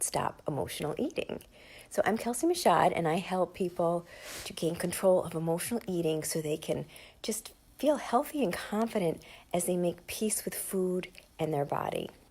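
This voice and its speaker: Pitch varies in an ordinary way across a dark, mellow tone. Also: woman. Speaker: emotional eating coach. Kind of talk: casual talk to camera. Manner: casual, with fillers.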